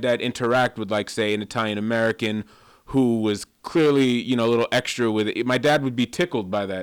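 A man with an unremarkable speaking voice talks at a fairly quick pace with ordinary pitch variation. The recording is very clean, with a silent background. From Massachusetts (born in Queens). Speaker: film critic. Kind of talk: casual chat.

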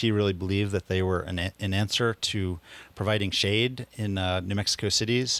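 A normal speaking voice from a man, fairly low in pitch, with fairly even intonation and a moderate pace, on a very clean recording with a silent background. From US Northeast, Philadelphia. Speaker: land trust restoration crew leader. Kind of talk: radio interview.

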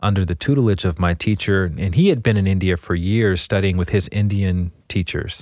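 A moderately paced voice with an American accent and fairly even intonation, recorded very cleanly against a silent background. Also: man. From US South, Montgomery, Alabama. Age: 40s. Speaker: meditation teacher. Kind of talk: interview conversation.

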